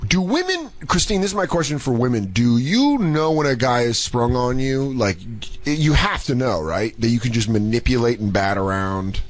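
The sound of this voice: Over noticeable background noise, a man speaks at a moderate pace and medium pitch, his loudness very even and his intonation lively.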